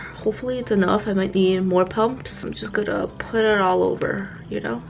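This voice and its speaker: Fairly quick speech from a woman with an American accent, over music in the background. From New York City. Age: 20s. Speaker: beauty vlogger. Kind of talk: casual get-ready-with-me vlog.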